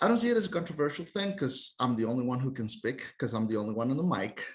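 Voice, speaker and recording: A man speaks with a Costa Rican accent. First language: Spanish. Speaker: tour guide. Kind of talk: podcast interview.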